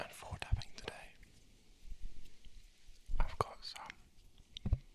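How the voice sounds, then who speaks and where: Someone whispers at a very slow pace. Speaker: ASMR creator. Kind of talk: ASMR trigger intro. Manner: whispered.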